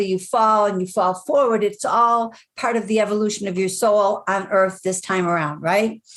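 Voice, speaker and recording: A woman's fairly high-pitched voice. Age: 60s. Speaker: life coach and author. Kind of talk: podcast interview. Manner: energetic.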